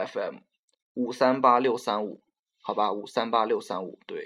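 Medium-pitched man's voice against a quiet background. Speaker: podcast host. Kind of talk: casual chat.

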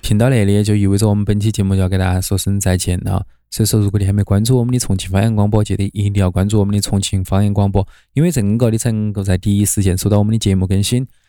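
A man with a Chongqing accent speaks very fast in a fairly low pitch, flat and monotone, with very even loudness and a dark, mellow tone. The recording is very clean with a silent background. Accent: Chongqing dialect, Sichuanese Mandarin. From Chongqing, China. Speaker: podcast host. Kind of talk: scripted narration.

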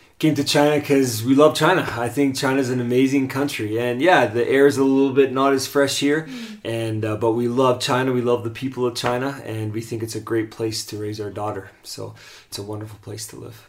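A man at medium pitch, fairly quick and with hardly any pauses, fairly even intonation, noticeable background noise behind him. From Canada. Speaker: co-host's husband, charity worker. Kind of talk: casual chat.

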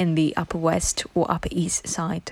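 This woman speaks with a British accent. Her pitch is fairly low and her pace fairly slow. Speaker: reader of English texts for learners. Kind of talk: reading aloud.

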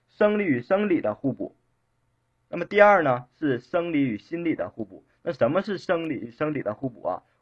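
At a moderate pace, a man speaks with a high pitch, very wide pitch swings and big swings in loudness. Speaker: teacher giving exam-prep lecture. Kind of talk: online lecture. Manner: repetitive rhetorical questions, filler-heavy. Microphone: too quiet for some listeners.

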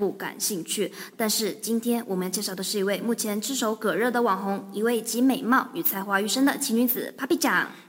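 A woman talks with fairly high pitch and ordinary pitch variation. Noticeable background noise runs behind her. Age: young. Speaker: podcast co-host. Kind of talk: scripted banter.

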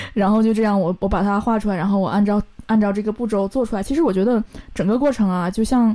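Speaking at a very fast pace, a woman has a dark, mellow tone, ordinary pitch variation and very even loudness. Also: medium pitch for a woman. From Northeast China. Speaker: leather craftsperson. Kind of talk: casual interview.

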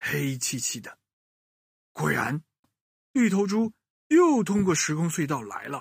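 At a slow pace, a man talks with vocal fry, a slightly husky edge and big pitch swings, leaving long, frequent pauses. The sound is dry and close, with no echo.

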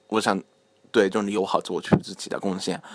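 The background is silent and the recording very clean. His voice, a man's, sits fairly low in pitch. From Japan. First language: Japanese (speaking Chinese). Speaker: university student, Chinese speech contest contestant. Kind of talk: casual chat. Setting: home recording, group around a table. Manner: halting, many fillers.

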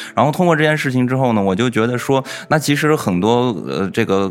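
A man speaks at a fairly quick pace, with noticeable background noise behind him. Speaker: podcast host. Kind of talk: casual chat.

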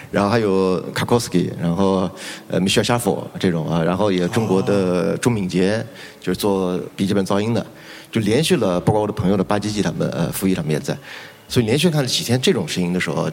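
The speech goes by at a very fast pace against noticeable background noise. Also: man, fairly low pitch for a man, ordinary pitch variation. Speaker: rock musician. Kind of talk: panel discussion. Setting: stage with audience.

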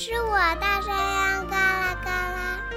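A loud, put-on character voice at a fairly slow pace, with clear music in the background.

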